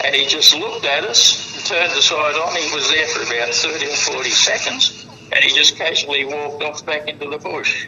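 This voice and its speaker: With an Australian accent, the speaker moves at a fairly quick pace with hardly any pauses over noticeable background noise. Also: man. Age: 60s. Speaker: eyewitness. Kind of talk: storytelling.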